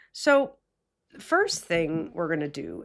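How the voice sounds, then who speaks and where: A very slow woman's voice with very wide pitch swings, on a very clean recording with a silent background. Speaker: meditation podcast host. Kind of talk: guided meditation with casual talk.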